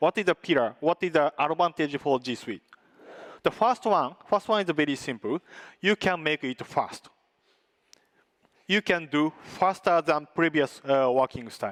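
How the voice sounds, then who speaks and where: With a non-native accent, a man talks at a moderate pace in a fairly high voice with lively intonation and long, frequent pauses, recorded very cleanly against a silent background with a dry, close sound and no echo. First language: not English. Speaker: tech company presenter. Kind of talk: conference presentation with demo. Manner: halting, many filler sounds.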